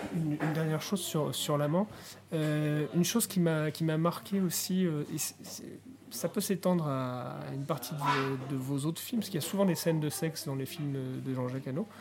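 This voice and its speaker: A man talks at a moderate pace in a normal speaking voice. His pitch is fairly high, with ordinary pitch variation. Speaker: podcast co-host. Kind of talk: interview. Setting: bistro.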